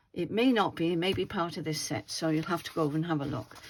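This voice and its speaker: A woman speaks with an English accent, her fairly low pitch carried by lively intonation. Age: 70s. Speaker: craft YouTuber. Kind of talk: casual craft tutorial. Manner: chatty, halting.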